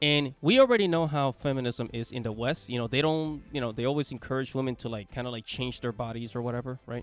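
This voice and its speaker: With a Spanish accent, a man talks very fast with hardly any pauses while music plays in the background. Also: medium pitch for a man, ordinary pitch variation. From Latin America. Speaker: YouTuber. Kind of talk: commentary video. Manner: casual, repetitive.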